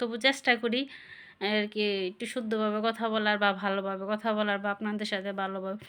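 A woman speaks with a bright, sharp tone at a fairly high pitch. The recording is very clean, with a silent background. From rural Bangladesh. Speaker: vlogger. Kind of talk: casual vlog monologue. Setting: at home, sitting on bed. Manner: halting.

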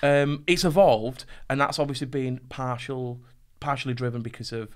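A man speaks at a moderate pace against a quiet background. His intonation stays fairly even. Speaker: podcast host. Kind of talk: interview conversation. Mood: relaxed, lightly humorous. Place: studio. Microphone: studio mic.

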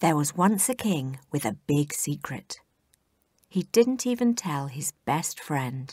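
In a British accent, a woman with a very deep, low pitch and a somewhat breathy voice speaks at a very slow pace with very wide pitch swings, recorded dry and close with no echo in a very clean, silent setting. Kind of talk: children's audiobook reading.

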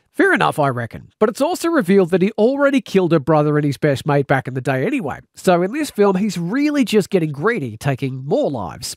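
In an Australian accent, a man with a high pitch races along at a very fast pace with hardly any pauses and very wide pitch swings. The sound is dry and close with no echo. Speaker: radio presenter and author. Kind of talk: reading aloud.

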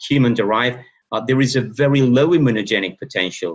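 Over a quiet background, a man's pitch varies in an ordinary way. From Spain. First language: Spanish (speaking Indonesian). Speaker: professor of medicine. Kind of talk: lecture. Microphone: webcam.

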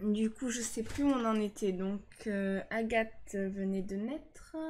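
Somewhat breathy, a woman speaks at a very slow pace over light background noise. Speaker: game streamer. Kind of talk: casual gameplay commentary. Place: home room. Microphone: studio mic.

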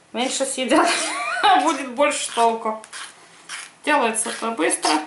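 A woman speaks with a high pitch at a fairly slow pace. Noticeable background noise runs behind her. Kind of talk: cooking tutorial. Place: kitchen. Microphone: camera far.

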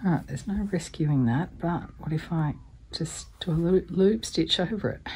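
In an Australian accent, a woman speaks at a moderate pace with a fairly low pitch. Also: ordinary pitch variation. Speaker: embroidery hobbyist. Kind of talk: casual craft video narration.

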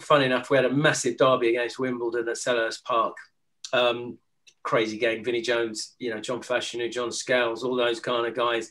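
A man talking at a fairly quick pace over a quiet background. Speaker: guest. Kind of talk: interview answer. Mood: relaxed, amused. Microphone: video call.

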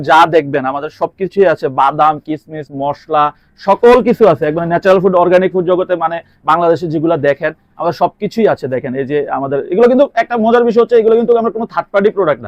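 A man speaks at a high pitch with lively intonation, the sound dry and close with no echo. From Bangladesh, Cumilla. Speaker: date fruit wholesaler. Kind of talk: interview.

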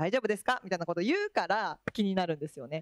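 A woman speaks at a very fast pace with very wide pitch swings, in a dry sound with no echo and a quiet background. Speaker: school staff member; panelist. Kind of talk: panel discussion. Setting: stage with audience. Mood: friendly, animated. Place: hall. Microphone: handheld.

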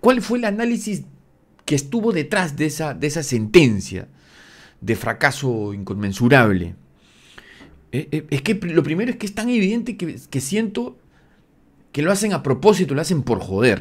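A man with a fairly high voice and vocal fry talks at a moderate pace, with long, frequent pauses. His tone is animated, and his pitch swings very widely. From Peru. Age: 40s. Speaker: football commentator YouTuber. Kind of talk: opinion rant video. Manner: halting, repeating words. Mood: indignant, critical. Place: home room. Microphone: studio mic.

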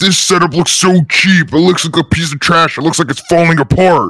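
The speech moves at a fairly quick pace. Its intonation is fairly even. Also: man, high pitch for a man. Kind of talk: comic kids' roleplay villain. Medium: machinima. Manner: boastful, sneering, insulting.

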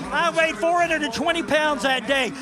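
With clear music in the background, a man speaks in a raised, projected voice with ordinary pitch variation and a dry sound with no echo. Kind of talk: interview answer. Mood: elated, motivational. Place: stadium. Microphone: handheld.

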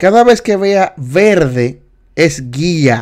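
Lively intonation and an animated tone mark this man's speech. The background is quiet. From Dominican Republic. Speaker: driving test tutor, livestream host; driving test instructor. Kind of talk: live study session quiz tutorial. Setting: livestream. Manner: animated, repetitive teaching. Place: home room.

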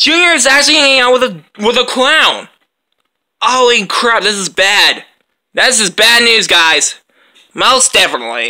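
Over a quiet background, the speech moves at a moderate pace with long, frequent pauses. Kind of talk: character voice play dialogue. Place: home room. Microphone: phone near.

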